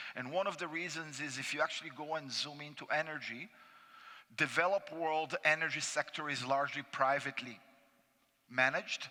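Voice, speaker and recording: A fairly high-pitched man with a Brazilian accent, a bright, sharp tone, fairly even intonation and a fairly quick pace. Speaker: finance panelist. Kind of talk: conference presentation. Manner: hesitant with fillers.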